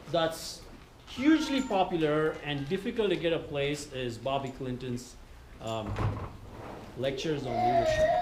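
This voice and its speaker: A man at a moderate pace with very wide pitch swings, amid audible room echo and noticeable background noise. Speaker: retreat speaker on church leadership. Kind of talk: workshop talk.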